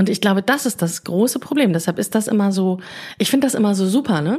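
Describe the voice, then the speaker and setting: At a moderate pace and medium pitch, a woman talks in a somewhat breathy voice with ordinary pitch variation. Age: 40s. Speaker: podcast host and coach. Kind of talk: casual chat.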